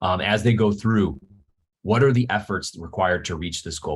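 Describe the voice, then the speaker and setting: A man's somewhat breathy voice, fairly quick in pace, with ordinary pitch variation. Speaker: webinar presenter, leadership program author. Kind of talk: webinar presentation. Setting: office, screen sharing. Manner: fast.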